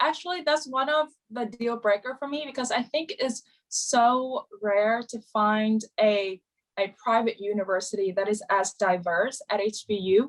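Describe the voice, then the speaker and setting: Intonation is lively as the speaker, with a Vietnamese accent, talks at a moderate pace. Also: woman. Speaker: university student. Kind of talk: interview. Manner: hesitant, many fillers.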